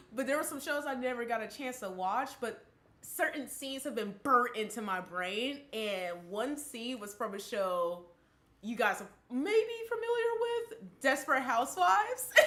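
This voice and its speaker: Audible room echo surrounds a woman speaking at a moderate pace. Her high-pitched voice has a bright, sharp tone and lively intonation. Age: 20s. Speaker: podcast co-host. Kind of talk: casual chat. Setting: live stream.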